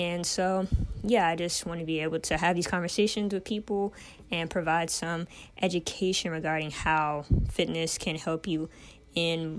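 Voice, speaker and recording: Moving at a moderate pace, an unremarkable speaking voice carries the speech. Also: woman. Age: 20s. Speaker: podcast host and personal trainer. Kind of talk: solo podcast monologue.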